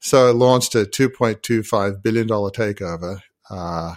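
A man with an Australian accent is heard on a very clean recording with a silent background. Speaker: leadership coach and business founder. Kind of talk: podcast interview.

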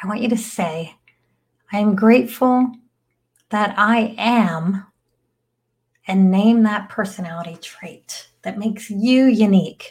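Somewhat breathy and soothing in a calm tone, a woman at medium pitch talks at a fairly slow pace with ordinary pitch variation, big swings in loudness and long, frequent pauses. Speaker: meditation guide. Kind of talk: guided meditation. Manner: slow, soothing, calm; gentle, with long pauses.

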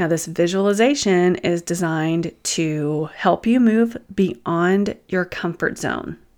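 A woman with a Southern US accent talks at a very slow pace in a fairly low, warm tone. The recording is very clean, with a silent background. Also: ordinary pitch variation, hardly any pauses. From US South. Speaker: empath coach and podcaster. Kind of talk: guided meditation and coaching talk. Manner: warm, conversational.

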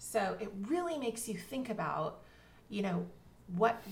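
A woman keeps a moderate pace while audible room echo and noticeable background noise fill the recording. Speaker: literary agent and author coach. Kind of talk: casual interview.

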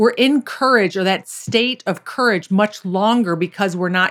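A woman speaks in a plain, everyday voice at medium pitch. Her pace is moderate and her pitch variation ordinary. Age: 50s. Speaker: golf pro and mindset coach. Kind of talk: casual interview.

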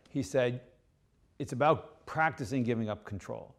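In a very clean recording with a silent background, a man with an American accent talks at a moderate pace with ordinary pitch variation. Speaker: leadership author and former submarine captain. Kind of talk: interview.

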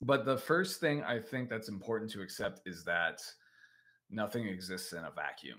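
A man's medium-pitched voice with a General American accent, bright and sharp in tone, at a moderate pace, with big swings in loudness and lively intonation. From United States. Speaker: songwriting teacher and podcaster. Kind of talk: casual unscripted talk, rambling lesson. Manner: informal, hesitant, with fillers and stumbles.

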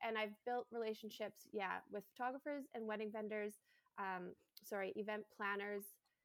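A woman with a Canadian accent speaks at fairly high pitch and a moderate pace, with fairly even intonation. Her loudness stays very even, and the sound is dry and close with no echo. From Canada, Alberta Rockies (Jasper). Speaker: bridal hairstylist. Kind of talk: casual interview.

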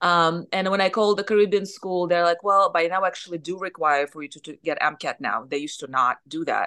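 A woman with a Russian accent speaks at a fairly quick pace with hardly any pauses, her tone bright and sharp against a quiet background. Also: ordinary pitch variation. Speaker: surgeon and business owner. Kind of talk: interview.

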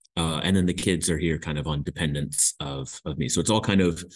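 With a Midwestern American accent, a man speaks at a fairly quick pace. His voice sits at a very deep, low pitch. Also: quiet background. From US Midwest, Indiana. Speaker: graduate student, immigrant. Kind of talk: interview. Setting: remote recording from university.

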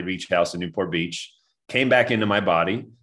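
A man with a plain, everyday voice talks at a fairly quick pace, his pitch varying in an ordinary way. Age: 30s. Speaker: former pro basketball player turned wellness coach. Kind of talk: interview.

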